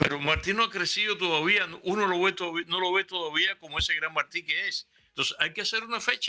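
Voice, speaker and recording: Using a raised, projected voice, a man talks at a very fast pace with hardly any pauses. His pitch is high, his tone bright and sharp, his intonation fairly even, and the sound dry and close with no echo. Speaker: historian guest. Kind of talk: casual interview.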